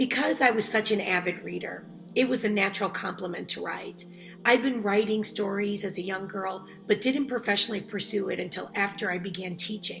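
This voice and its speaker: Music in the background behind a woman with a Chicago accent, medium pitch and fairly even intonation. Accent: Chicago American English. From Chicago South Side, USA. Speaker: author. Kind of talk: interview answer.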